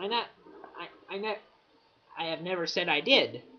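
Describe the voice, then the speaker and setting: Speech at a moderate speed comes with noticeable background noise. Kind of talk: casual talk to camera. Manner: stuttering, hesitant.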